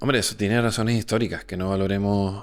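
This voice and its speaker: A man with a fairly low pitch talks at a very fast pace. His intonation stays fairly even. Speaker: film director. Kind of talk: podcast interview.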